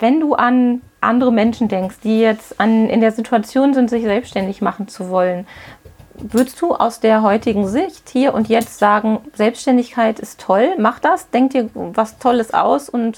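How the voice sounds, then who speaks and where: A woman talks at a fairly slow pace with ordinary pitch variation, her voice fairly high. It is an ordinary speaking voice. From Witten, Ruhr area, Germany. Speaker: podcast host, business coach. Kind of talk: interview. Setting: on location in a hat shop.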